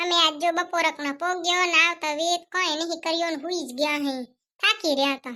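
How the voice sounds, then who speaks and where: A cartoonish character voice from a woman, pitched extremely high. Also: moderate pace. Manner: easygoing, chatty.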